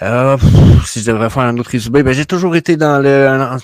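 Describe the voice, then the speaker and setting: A man speaks with ordinary pitch variation, and the sound is dry and close with no echo. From Quebec. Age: 30s. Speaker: NFT YouTuber, former educator. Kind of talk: casual conversation.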